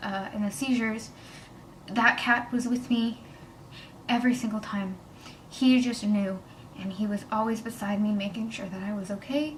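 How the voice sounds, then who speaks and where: A woman's fairly high voice at a moderate pace, with fairly even intonation, audible room echo and noticeable background noise. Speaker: vlogger. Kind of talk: personal testimony. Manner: emotional, hesitant.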